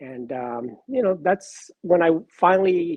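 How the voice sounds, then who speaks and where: An ordinary speaking voice from a man, fairly high in pitch, with lively intonation and a fairly slow pace. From Miami, Florida (born in Cuba, moved at four). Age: 60s. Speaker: sports card collector. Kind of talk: casual interview.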